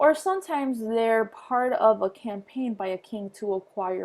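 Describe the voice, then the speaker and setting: A woman with a non-native accent speaks at a fairly slow pace. Her voice is fairly high, with ordinary pitch variation. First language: not English. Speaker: history teacher. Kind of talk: lecture. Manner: halting, many fillers.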